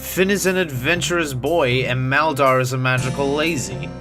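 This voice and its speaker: With music playing in the background, a man speaks using lively intonation. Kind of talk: unscripted video essay commentary. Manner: stuttering.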